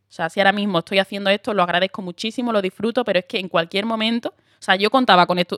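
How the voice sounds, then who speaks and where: A woman speaks very fast in an Andalusian accent, her animated tone bright and sharp, the sound dry and close with no echo. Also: very clean recording, silent background. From Andalusia, Huelva. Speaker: actress. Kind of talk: casual chat.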